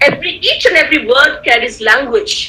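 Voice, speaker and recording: A woman's raised, projected, high-pitched voice in an Indian accent, at a moderate pace with very wide pitch swings, noticeable background noise and audible room echo. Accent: Indian English (Tamil). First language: Tamil. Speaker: guest speaker, communication skills trainer. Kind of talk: online lecture. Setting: video call. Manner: repetitive, halting with fillers.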